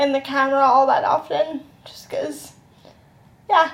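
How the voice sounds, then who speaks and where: The voice sounds strained and delivers its words very slowly in a flat, monotone way. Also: woman. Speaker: vlogger. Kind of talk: casual chat. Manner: uneven, strained speech.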